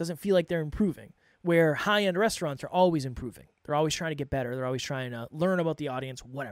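A man talks at a very fast pace and a fairly high pitch. The sound is dry with no echo, and the background is quiet. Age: 30s. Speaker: podcast coach and host; podcast coach, host. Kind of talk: solo monologue. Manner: off the cuff, unscripted. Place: studio. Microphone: studio mic.

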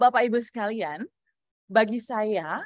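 A woman talks at a fairly slow pace, the sound dry with no echo and the background quiet. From Indonesia. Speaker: public speaking trainer. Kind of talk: workshop lecture. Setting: video call. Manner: animated.

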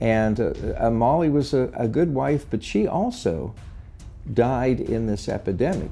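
Music plays in the background. Over it, a man speaks at a medium pitch. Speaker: retired history professor. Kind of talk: interview answer.

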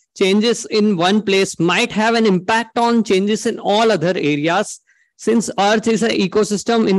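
A man with an Indian accent, high-pitched, with fairly even intonation, hardly any pauses and a quiet background. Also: very even loudness. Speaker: engineering student; conference presenter. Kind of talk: conference presentation. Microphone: video call.

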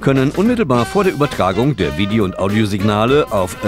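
A man talks at a fairly quick pace with music in the background. His fairly low pitch makes very wide swings. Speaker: narrator. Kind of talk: corporate promotional narration. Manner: exaggerated pronunciation of English terms.

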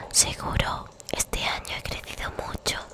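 In a whisper, the woman goes at a very slow pace. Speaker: ASMR creator. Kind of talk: whispered bedtime story reading. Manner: whispered, soft. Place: home room. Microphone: studio mic.

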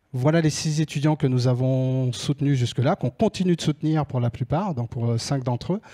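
With hardly any pauses, a man speaks in a dark, mellow tone with ordinary pitch variation over a quiet background. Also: moderate pace. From France. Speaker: scholarship association organizer. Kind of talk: presentation. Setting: stage with audience. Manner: halting. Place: stage. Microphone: handheld.

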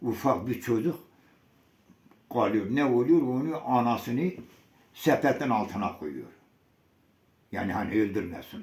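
A man speaks at a fairly slow pace with lively intonation, vocal fry, and long, frequent pauses. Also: medium pitch for a man. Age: 80s+. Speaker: massacre survivor, elder. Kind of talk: oral history interview answer.

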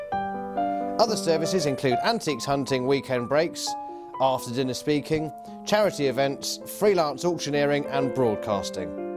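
A man talks with very wide pitch swings and very even loudness. Music plays in the background. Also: medium pitch for a man, moderate pace. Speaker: auctioneer and valuer, antiques expert. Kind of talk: corporate promotional narration to camera.

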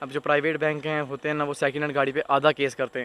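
This man's voice sounds dry, with no echo. His intonation is monotone and flat. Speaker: trucking vlogger. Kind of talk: casual vlog chat. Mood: disappointed but resigned. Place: garden. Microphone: phone near.

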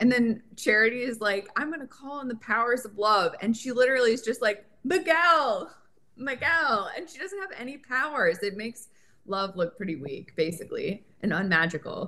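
With an American accent, a woman speaks at a moderate pace in a fairly high pitch, her bright, sharp tone moving through very wide pitch swings and big swings in loudness. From Connecticut. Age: 30s. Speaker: guest co-host. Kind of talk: casual chat.

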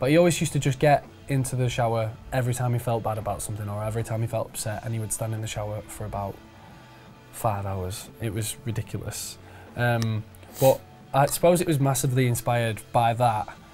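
Over faint background music, a man talks at a very fast pace. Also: ordinary pitch variation. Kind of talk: interview answer. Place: home room. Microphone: lapel.

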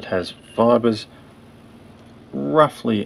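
Spoken with an Australian accent over light background noise. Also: man. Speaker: fly tyer. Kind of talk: fly tying tutorial narration. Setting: poor audio quality.

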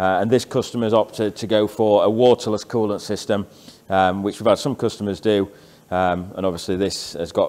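The intonation stays fairly even. The voice is a man's. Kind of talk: tutorial walkthrough. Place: workshop. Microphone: phone near.

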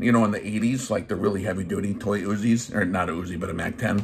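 Here a man talks at a moderate pace. His pitch varies in an ordinary way. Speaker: gun channel host, army veteran. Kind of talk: comedic rant review. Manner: animated. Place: home room. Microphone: phone near.

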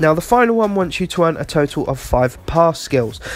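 A man with a British accent talks at a fairly quick pace in a high pitch. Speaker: gaming YouTuber. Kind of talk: tutorial. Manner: casual, fillers.

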